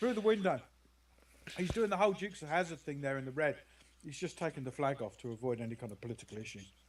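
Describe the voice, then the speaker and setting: A man with a British accent talks at a very fast pace and a fairly high pitch, with very wide pitch swings. His loudness swings widely, and he takes long, frequent pauses. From Britain. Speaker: game commentator. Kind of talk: casual chat.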